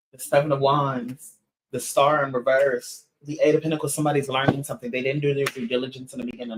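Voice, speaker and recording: A somewhat breathy man speaks at a fairly quick pace with ordinary pitch variation. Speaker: tarot reader. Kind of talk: tarot reading livestream. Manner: fast.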